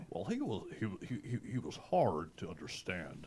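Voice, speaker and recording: A man performs a put-on character voice, pitched fairly low, with lively intonation at a moderate pace. Clear background noise runs underneath. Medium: comedy sketch. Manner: stammering, hesitant, filler-heavy.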